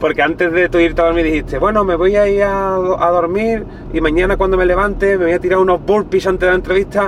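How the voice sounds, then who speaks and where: Against noticeable background noise, a man with a high pitch talks very fast in a flat monotone, with hardly any pauses and very even loudness. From southern Spain, Cádiz. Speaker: youtuber interviewer, freestyle rap background. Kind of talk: casual interview.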